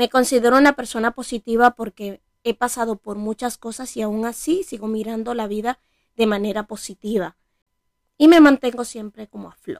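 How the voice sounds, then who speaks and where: A woman with a plain, everyday voice speaks at a moderate pace and fairly high pitch, with ordinary pitch variation and big swings in loudness. The sound is dry and close with no echo, on a very clean recording with a silent background. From Dominican Republic, Bonao. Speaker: podcaster. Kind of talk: personal monologue.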